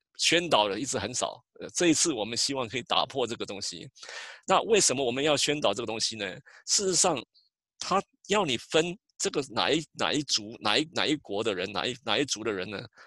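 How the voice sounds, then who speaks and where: In a Taiwanese accent, a man speaks fairly quickly with a bright, sharp tone and very wide pitch swings, the sound dry and close with no echo. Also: medium pitch for a man. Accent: Taiwanese Mandarin. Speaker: census outreach coordinator. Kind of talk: interview. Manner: halting.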